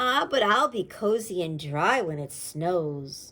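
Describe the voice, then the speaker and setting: A female-sounding voice puts on a character at a middle pitch and a fairly slow pace. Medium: read story.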